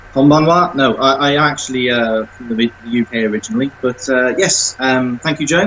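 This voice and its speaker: A man with a southern English accent speaks at medium pitch and moderate pace over noticeable background noise. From England, not the north. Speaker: self-published author. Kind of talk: podcast interview.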